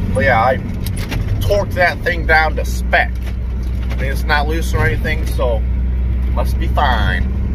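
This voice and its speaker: There is noticeable background noise as a man speaks at a fairly slow pace, the sound dry with no echo. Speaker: truck owner vlogger. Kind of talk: casual vlog chat. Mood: relaxed, joking. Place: car. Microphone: phone near.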